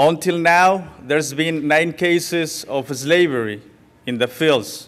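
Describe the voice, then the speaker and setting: A man's fairly high voice in a Spanish accent, very slow in pace, with ordinary pitch variation. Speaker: farmworker organizer. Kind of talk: public talk. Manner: halting.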